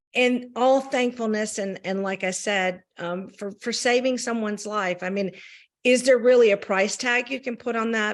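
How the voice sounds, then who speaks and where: Over a quiet background, the speaker uses a Southern US accent with ordinary pitch variation. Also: woman, fairly high pitch for a woman, moderate pace. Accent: Southern US accent on her French. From US South. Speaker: champagne brand representative. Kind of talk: interview. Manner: hesitant, many fillers.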